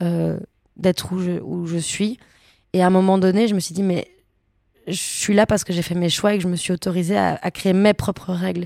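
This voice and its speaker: A woman at a medium pitch, fairly quick pace and monotone, flat intonation, with long, frequent pauses, on a very clean recording with a silent background. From Belgium, Brussels. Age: 20s. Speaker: actress. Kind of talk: casual interview. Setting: hotel room.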